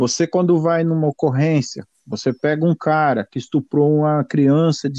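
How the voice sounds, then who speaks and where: A man at a fairly high pitch with a dark, mellow tone and a moderate pace, recorded dry and close with no echo against a quiet background. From Brazil, São Paulo. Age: 50s. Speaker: retired police officer. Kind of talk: interview. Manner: halting.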